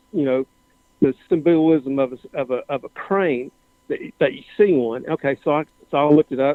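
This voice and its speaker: A man with a Southern US accent, fairly high pitch and ordinary pitch variation. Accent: Southern American. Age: 60s. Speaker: caller. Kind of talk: casual chat. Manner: halting.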